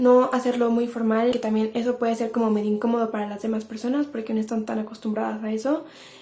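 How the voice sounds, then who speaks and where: A woman's fairly high voice, monotone and flat, at a very fast pace against noticeable background noise. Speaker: lifestyle YouTuber. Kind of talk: advice monologue to camera.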